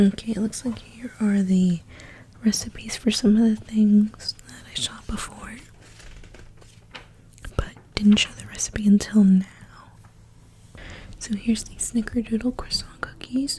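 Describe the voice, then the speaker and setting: A soft-spoken woman whispers at a fairly slow pace, leaving long, frequent pauses. Her loudness swings widely. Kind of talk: ASMR magazine flip-through, soft spoken. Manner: whispered, soft-spoken.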